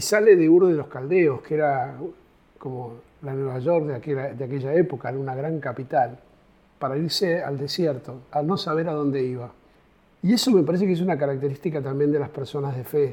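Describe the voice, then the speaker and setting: This man's voice sits at a fairly high pitch. Its tone is dark and mellow. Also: ordinary pitch variation, fairly quick pace. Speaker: pastoral worker, co-host. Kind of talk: casual chat. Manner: halting.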